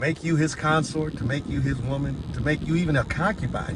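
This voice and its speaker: A man with an American accent, over noticeable background noise. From United States. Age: 60s. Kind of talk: opinion rant monologue.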